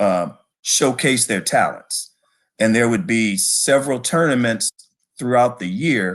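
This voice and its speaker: A man speaks in an ordinary speaking voice with an American accent. His pitch is medium, his pitch variation ordinary, and his pace fairly slow. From Detroit, Michigan. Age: 60s. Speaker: bowling hall of fame director. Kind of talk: interview.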